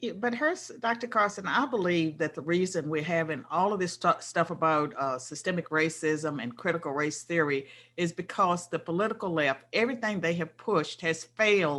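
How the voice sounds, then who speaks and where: A woman with a plain, everyday voice and an American accent, fairly low in pitch, with lively intonation at a moderate pace. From US South, rural. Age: 60s. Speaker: political scientist, interview guest. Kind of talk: casual interview conversation.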